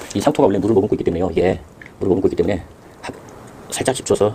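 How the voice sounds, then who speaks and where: A man talks very fast. Noticeable background noise runs beneath him. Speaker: home gardener. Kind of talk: tutorial. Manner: halting.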